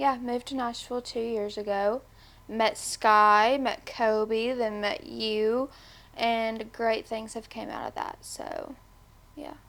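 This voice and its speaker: In a Tennessee accent, a woman talks at a very slow pace with a fairly high pitch and fairly even intonation, on a very clean recording with a silent background. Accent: Southern US (Tennessee). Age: 20s. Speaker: podcast guest, manager. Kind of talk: casual interview.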